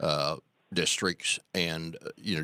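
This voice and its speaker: A very deep, low male voice with a bright, sharp tone and an Arkansas accent, at a fairly slow pace, with a dry, close sound and no echo. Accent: Southern US (Arkansas). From US South. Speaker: radio host. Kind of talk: radio interview.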